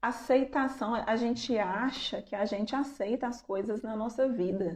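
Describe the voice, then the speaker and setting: Delivered at a fairly slow pace, a plain, everyday voice shows ordinary pitch variation. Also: woman, fairly high pitch for a woman. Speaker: psychologist or anxiety coach giving a live talk. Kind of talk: live-stream talk to viewers. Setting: online live stream.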